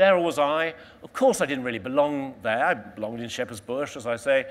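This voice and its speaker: Talking at a fairly quick pace with a London accent, a man at medium pitch shows ordinary pitch variation and big swings in loudness. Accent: southern English (London). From London, England. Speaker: explorer. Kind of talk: motivational talk. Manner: animated.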